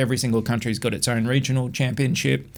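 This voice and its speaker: Speaking very fast with vocal fry, a man in an Australian accent holds a medium pitch. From Australia, Adelaide. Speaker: former touring car technician. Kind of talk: podcast interview.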